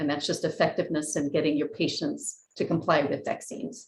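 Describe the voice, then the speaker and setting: This woman talks at a fairly quick pace, her voice somewhat breathy. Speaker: keynote speaker, economist. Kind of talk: academic lecture. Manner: fast.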